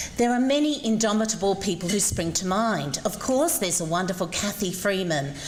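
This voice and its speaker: A woman speaks with an Australian accent at a medium pitch. Noticeable background noise can be heard. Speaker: former ballet dancer, invited speaker. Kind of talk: public speech. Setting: breakfast event with audience.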